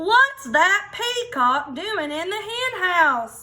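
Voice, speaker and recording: A woman uses a put-on character voice at a very slow pace, her pitch extremely high with very wide swings. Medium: read story.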